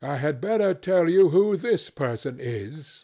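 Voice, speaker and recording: A man puts on a character voice, fairly high in pitch. He moves at a fairly slow pace with very wide pitch swings. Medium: read story. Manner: formal, restrained.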